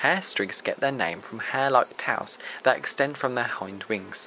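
A man with a fairly high pitch and an unremarkable speaking voice keeps to a moderate pace. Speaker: nature presenter. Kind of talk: nature documentary narration. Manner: measured, even, informative; formal, steady pace.

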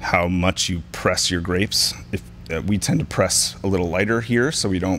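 A man's very deep, low voice at a fairly slow pace, with light background noise. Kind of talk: interview answer.

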